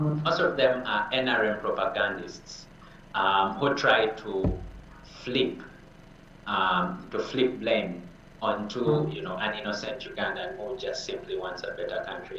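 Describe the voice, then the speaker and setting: A man at a fairly slow pace, with music in the background and audible room echo. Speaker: opposition party diaspora leader. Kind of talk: TV interview.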